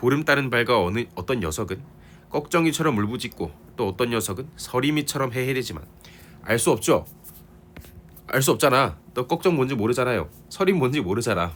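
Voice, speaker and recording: Speaking at a moderate pace and medium pitch, a man shows vocal fry and very wide pitch swings. Long, frequent pauses break up his speech. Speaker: literature teacher. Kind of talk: lecture. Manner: casual, conversational.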